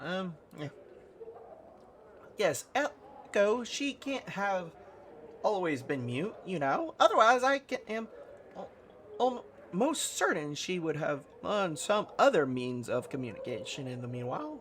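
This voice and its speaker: A put-on character voice at middle pitch with very wide pitch swings, a fairly slow pace, long, frequent pauses and clear background noise. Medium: solo performance.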